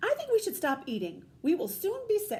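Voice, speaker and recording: A woman puts on a squeaky character voice at an extremely high pitch. She keeps a moderate pace. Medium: read story.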